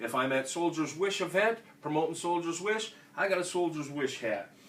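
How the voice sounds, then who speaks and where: With a Minnesota accent, a man talks at a moderate pace in a high pitch and lively intonation over noticeable background noise. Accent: Minnesota, Fargo-like. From Minnesota (Austin). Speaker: veterans organization state official, Marine veteran. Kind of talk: instructional talk. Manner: casual, conversational.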